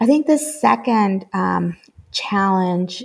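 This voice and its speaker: Speaking at a very slow pace, a woman with a Spanish accent is heard on a very clean recording against a silent background. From Mexico, Guadalajara. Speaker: school network executive. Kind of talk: interview. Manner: hesitant, many fillers.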